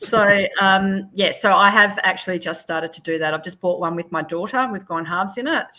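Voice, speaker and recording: Over noticeable background noise, a woman with an Australian accent speaks at a fairly quick pace with hardly any pauses, using a medium pitch and ordinary pitch variation. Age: 60s. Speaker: property renovator and investor. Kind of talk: interview.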